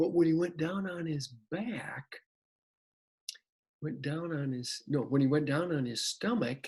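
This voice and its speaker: A man's fairly high voice at a fairly slow pace, with ordinary pitch variation and long, frequent pauses. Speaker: retired elementary school teacher, storyteller. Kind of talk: children's story telling to camera. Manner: casual, friendly, hesitant.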